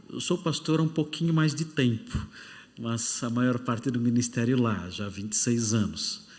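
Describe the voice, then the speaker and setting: A man's medium-pitched voice, with ordinary pitch movement, carries audible room echo. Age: 60s. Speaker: pastor. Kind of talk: sermon; casual self-introduction. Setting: church.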